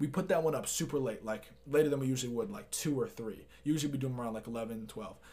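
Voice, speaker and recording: At a fairly quick pace, a man talks in a plain, everyday voice. His pitch is medium, with ordinary variation. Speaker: artist and musician. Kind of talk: casual chat.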